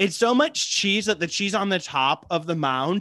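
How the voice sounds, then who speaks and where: Speaking at a moderate pace with an American accent, a man has a high pitch and a bright, sharp tone. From US Midwest. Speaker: podcast co-host. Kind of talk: casual chat.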